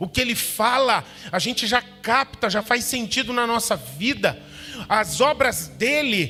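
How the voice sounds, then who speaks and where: A man speaks at an extremely high pitch. Music plays in the background. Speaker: pastor. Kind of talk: sermon. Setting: church. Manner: soft-spoken.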